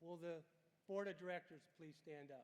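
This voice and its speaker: A man's high-pitched voice with fairly even intonation at a moderate pace. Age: 70s. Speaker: college board member. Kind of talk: commencement speech. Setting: stage with audience. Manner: formal.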